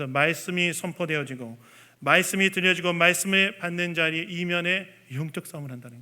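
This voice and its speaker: This man has a high pitch and a bright, sharp tone, with ordinary pitch variation. His loudness swings widely, and the recording is very clean with a silent background. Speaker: pastor. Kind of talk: sermon. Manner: fast.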